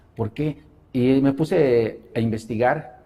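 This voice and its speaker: Speaking in a dark, mellow tone, a man lets his pitch vary in an ordinary way. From Mexico City. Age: 60s. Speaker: religious convert. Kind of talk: interview testimony. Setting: studio. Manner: hesitant, many fillers.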